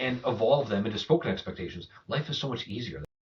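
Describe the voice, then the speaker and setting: A man races along at a very fast pace with a medium pitch. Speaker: go-to-market executive. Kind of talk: podcast interview.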